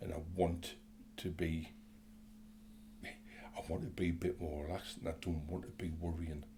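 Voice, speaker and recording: A man with a very deep, low voice and a dark, mellow tone speaks at a moderate pace, somewhat breathy, with ordinary pitch variation. He takes long, frequent pauses, and room echo is audible. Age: 60s. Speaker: interview guest sharing mental health story. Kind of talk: casual interview. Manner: hesitant, many fillers.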